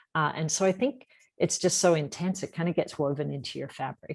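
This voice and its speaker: A woman speaks with a slight Australian accent. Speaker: environmental nonprofit founder. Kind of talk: interview.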